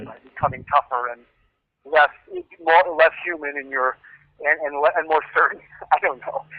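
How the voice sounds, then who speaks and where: This man has a fairly high pitch and fairly even intonation, moving at a moderate pace. His loudness swings widely, broken by long, frequent pauses. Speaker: screenwriter. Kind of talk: interview answer.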